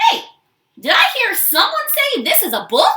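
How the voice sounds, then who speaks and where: Using a squeaky put-on character voice, a woman speaks at a moderate pace. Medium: read story.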